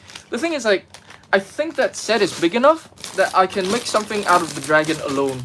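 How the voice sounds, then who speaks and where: Against noticeable background noise, the talking goes at a fairly quick pace. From Vietnam. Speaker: Lego builder streamer. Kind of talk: live stream chat while building. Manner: casual, chatty.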